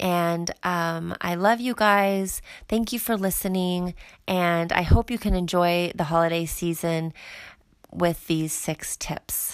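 The speaker talks at a very slow pace in a relaxed tone, with fairly even intonation. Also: woman, fairly low pitch for a woman. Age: 30s. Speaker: confidence coach and podcast host. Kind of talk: casual solo talk. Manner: relaxed with frequent fillers.

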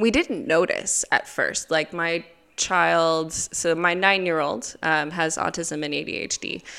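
A woman with an American accent speaks at a fairly slow pace, her fairly low pitch moving with ordinary variation over music in the background. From United States. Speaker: parent and ministry worker. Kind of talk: interview. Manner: hesitant, many fillers.

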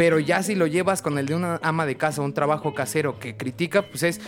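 Delivery is fairly quick, and the pitch varies in an ordinary way. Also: man. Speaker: podcast co-host. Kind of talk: casual chat.

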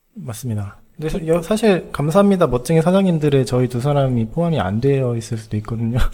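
Very fast and somewhat breathy, a man's voice makes very wide pitch swings. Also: fairly high pitch for a man. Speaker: podcast co-host. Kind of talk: casual chat.

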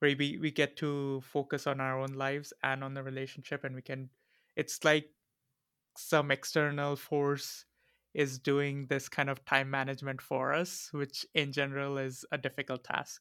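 A man's bright, sharp, fairly high voice in a flat monotone at a moderate pace, in a very clean recording with a silent background and a dry, close sound with no echo. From India. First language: an Indian language. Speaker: podcast co-host. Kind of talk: casual chat.

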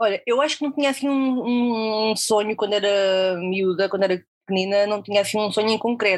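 A woman with a fairly high pitch talks with hardly any pauses, ordinary pitch variation and very even loudness. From Portugal, near Coimbra. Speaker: freelance copywriter. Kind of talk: interview conversation. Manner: halting, many repetitions and fillers.

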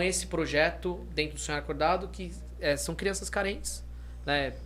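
Audible room echo can be heard. The words come at a moderate pace. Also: man. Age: 30s. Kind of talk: casual chat.

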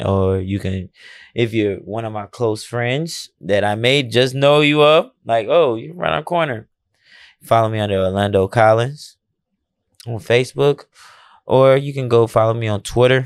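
A man's ordinary speaking voice at medium pitch, with ordinary pitch variation, on a very clean recording with a silent background. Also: moderate pace. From Chicago. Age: 30s. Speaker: boxer. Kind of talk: casual chat.

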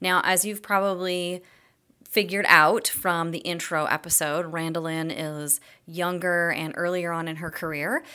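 Her pitch is fairly low and her intonation monotone and flat, with a bright, sharp tone. The woman is heard in a very clean recording with a silent background. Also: moderate pace. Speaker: podcast host and career coach. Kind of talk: podcast intro.

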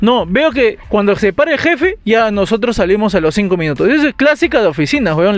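A high-pitched man speaks at a moderate pace with lively intonation. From Peru, Lima. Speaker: podcast co-host. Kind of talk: casual chat. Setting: recording studio.

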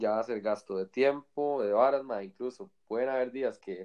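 The voice belongs to a man. It stays at a medium pitch. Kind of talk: casual chat. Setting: call recorded on iPad. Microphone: iPad mic, sounds far away.

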